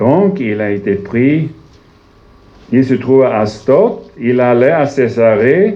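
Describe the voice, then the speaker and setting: Lively intonation and medium pitch mark this man's voice. He speaks at a very slow pace with long, frequent pauses. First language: Swedish (speaking French). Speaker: visiting preacher. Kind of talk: sermon. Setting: church. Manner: halting, searching for words.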